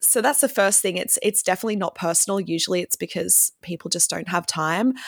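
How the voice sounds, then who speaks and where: An enthusiastic-sounding woman with an Australian accent, recorded with a dry, close sound and no echo. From Victoria, Australia. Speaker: music marketing consultant and band singer. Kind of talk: casual interview chat.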